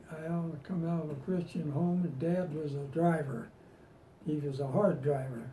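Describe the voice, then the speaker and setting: Noticeable background noise sits behind a man with a fairly high pitch and fairly even intonation. He keeps a moderate pace, broken by long, frequent pauses. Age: 80s+. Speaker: retired farm-raised worker. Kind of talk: interview answer.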